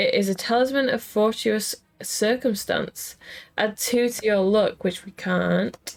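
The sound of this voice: The voice reads in an unforced way, its pitch varying in an ordinary manner.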